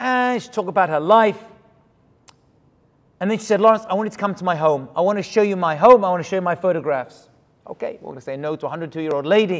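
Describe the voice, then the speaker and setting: An American man talks in an animated tone. His intonation is lively. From London, England. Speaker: rabbi. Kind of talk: sermon.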